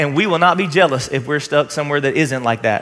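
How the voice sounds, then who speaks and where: The man's voice has a bright, sharp tone. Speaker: pastor. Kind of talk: sermon. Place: stage. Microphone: headset.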